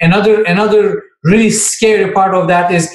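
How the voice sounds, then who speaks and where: Speaking fairly slowly with a Turkish accent, the man uses a high-pitched voice. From Turkey. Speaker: finance professor. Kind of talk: Q&A talk on careers.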